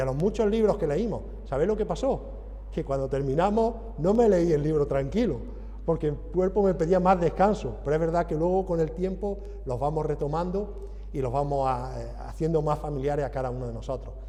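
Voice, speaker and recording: Speaking at a fairly quick pace in an Andalusian accent, a man is heard with audible room echo and noticeable background noise. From Andalusia, southern Spain. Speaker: visiting preacher. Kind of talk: sermon.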